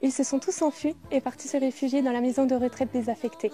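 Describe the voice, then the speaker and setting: A woman speaks at a fairly quick pace. Her high voice keeps a fairly even intonation. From Moselle, France. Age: 20s. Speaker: beauty pageant contestant. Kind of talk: scripted narration.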